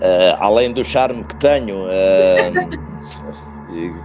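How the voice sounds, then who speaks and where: A man with a European Portuguese accent, very deep and low in pitch, very slow, amid noticeable background noise. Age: 50s. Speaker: futsal coach. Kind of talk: interview. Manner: hesitant, many fillers and repetitions.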